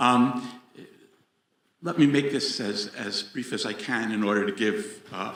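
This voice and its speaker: A man with an American accent talks at a medium pitch and a fairly slow pace with lively intonation, and the room echo is audible. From United States. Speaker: audience member, professor. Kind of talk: audience question. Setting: venue with live audience.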